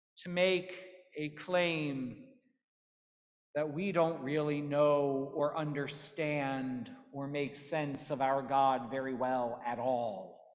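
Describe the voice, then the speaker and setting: The speaker talks at a very slow pace with ordinary pitch variation. The background is quiet. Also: woman, very deep, low pitch for a woman. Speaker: pastor. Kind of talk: sermon. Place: church.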